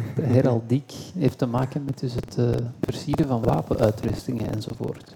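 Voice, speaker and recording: Noticeable background noise runs under the voice. The pace is moderate, with ordinary pitch variation. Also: man, medium pitch for a man. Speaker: cycling commentator and talk show host. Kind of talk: casual chat; live commentary. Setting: café with live audience.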